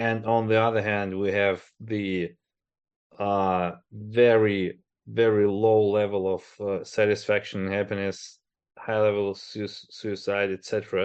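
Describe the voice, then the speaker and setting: Very slowly and in a monotone, flat intonation, a man with a Russian accent talks at a fairly low pitch. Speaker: podcast host and agile coach. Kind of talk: interview.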